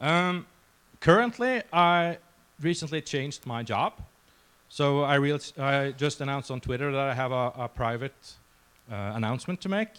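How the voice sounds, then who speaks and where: In a very clean recording with a silent background, a man with a Norwegian accent speaks at a moderate pace with fairly high pitch, lively intonation, and long, frequent pauses. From Norway. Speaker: security researcher. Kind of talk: conference talk. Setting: stage with audience. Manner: halting, many fillers.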